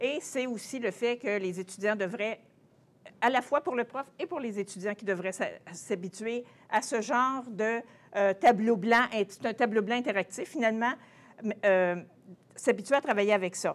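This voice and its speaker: A woman with a fairly high voice and ordinary pitch variation talks fairly slowly, leaving long, frequent pauses. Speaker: translation professor. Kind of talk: conference presentation. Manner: halting.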